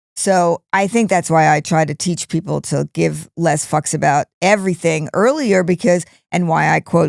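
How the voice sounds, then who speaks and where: A woman speaks in a normal speaking voice at a fairly low pitch, with ordinary pitch variation. The sound is dry and close, with no echo. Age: 60s. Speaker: podcast co-host. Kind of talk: casual chat.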